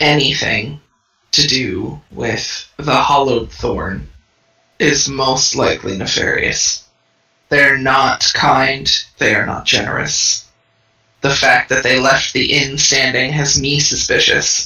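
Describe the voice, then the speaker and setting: In a put-on character voice, a man talks at a fairly slow pace with a medium pitch. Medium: actual play. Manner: blunt, distrustful.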